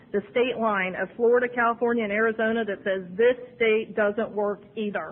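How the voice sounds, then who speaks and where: Noticeable background noise sits behind a fairly quick delivery. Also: woman. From Ohio, USA. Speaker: recovering alcoholic. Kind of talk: AA speaker talk. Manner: fast; humorous.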